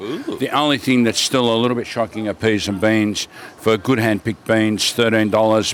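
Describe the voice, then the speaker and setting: With an Australian accent, a man speaks at a medium pitch and moderate pace with fairly even intonation, and noticeable background noise comes through. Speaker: market vendor. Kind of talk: casual chat. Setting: outdoors at a market.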